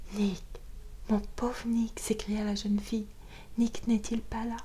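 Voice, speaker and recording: Noticeable background noise runs through the clip. A woman is the one talking. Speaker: audiobook reader. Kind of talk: bedtime audiobook reading. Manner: whispered.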